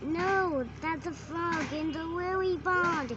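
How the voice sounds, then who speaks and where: Over loud background noise, a woman puts on a character voice. She talks very slowly. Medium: read story. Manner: gentle, amused.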